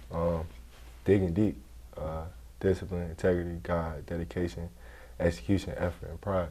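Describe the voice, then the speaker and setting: A man speaks at a moderate pace with a very deep, low pitch and a dark, mellow tone. He sounds somewhat breathy and leaves long, frequent pauses. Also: ordinary pitch variation. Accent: American. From New Jersey (Camden). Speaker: college football player. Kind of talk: casual interview.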